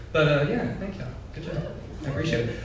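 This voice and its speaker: A man talks at a very fast pace with a fairly high pitch. There is noticeable background noise. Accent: American. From West Texas. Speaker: poet, writer in residence. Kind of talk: casual remarks to a live audience.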